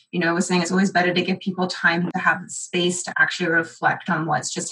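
Over noticeable background noise, a woman talks at a fairly quick pace. Her fairly low voice has monotone, flat intonation. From England. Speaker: event professional. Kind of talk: casual panel chat.

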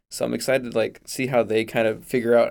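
Speech rushes by very quickly. Behind it the background is silent and the recording very clean. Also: man. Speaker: college student, tuba player. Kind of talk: casual interview.

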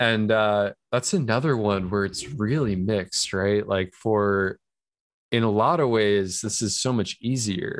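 With an American accent and an unremarkable speaking voice, a man speaks at a fairly slow pace and fairly low pitch, with ordinary pitch variation, in a very clean recording with a silent background. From New York. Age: 20s. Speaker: person in recovery and filmmaker. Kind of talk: interview, personal story.

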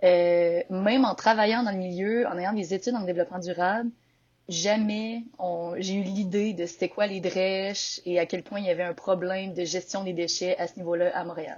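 In a normal speaking voice of medium pitch, a woman talks at a moderate pace with fairly even intonation. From Quebec, Victoriaville. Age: 20s. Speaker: entrepreneur. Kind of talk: interview.

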